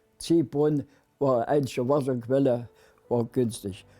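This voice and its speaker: Music plays in the background as a man speaks at a fairly high pitch and a fairly slow pace, with ordinary pitch variation. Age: 90s. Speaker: war veteran. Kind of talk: testimony. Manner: halting.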